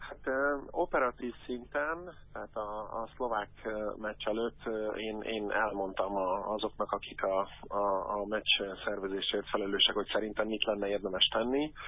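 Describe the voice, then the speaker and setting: A man talks at a fairly slow pace in a fairly low voice with ordinary pitch variation. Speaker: anti-racism football activist. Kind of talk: interview. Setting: phone call. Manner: halting.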